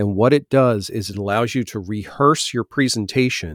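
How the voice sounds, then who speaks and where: Recorded dry and close with no echo, a man with a plain, everyday voice speaks at medium pitch with ordinary pitch variation. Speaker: podcast host. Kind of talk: podcast discussion.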